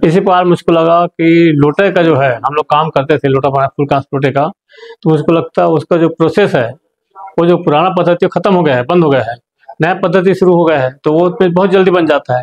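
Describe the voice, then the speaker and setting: The sound is dry and close, with no echo and very even loudness. The pace is moderate, with ordinary pitch variation. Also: man, high pitch for a man. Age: 70s. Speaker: retired teacher and clay sculptor. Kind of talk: interview.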